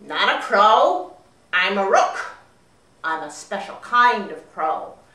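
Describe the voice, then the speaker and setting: A put-on character voice talks at a fairly slow pace. There is a slight echo on the recording. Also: female-sounding voice, medium pitch for a woman. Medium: read story.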